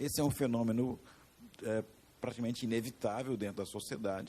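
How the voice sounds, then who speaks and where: This man's tone is dark and mellow. His pitch varies in an ordinary way. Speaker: education market consultant, panelist. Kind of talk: panel discussion. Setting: stage with audience.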